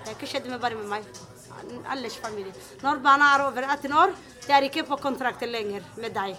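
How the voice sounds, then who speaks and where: Amid noticeable background noise and audible room echo, a woman uses a raised, projected voice, high in pitch, at a moderate pace with ordinary pitch variation and big swings in loudness. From Somalia. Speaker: tenant telling her story. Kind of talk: interview testimony. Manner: halting.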